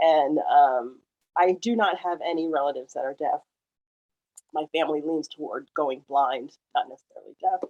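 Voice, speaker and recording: The voice moves at a moderate pace with big swings in loudness and ordinary pitch variation, recorded dry and close with no echo. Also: woman, very deep, low pitch for a woman. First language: French. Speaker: sign language interpreter. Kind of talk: panel discussion.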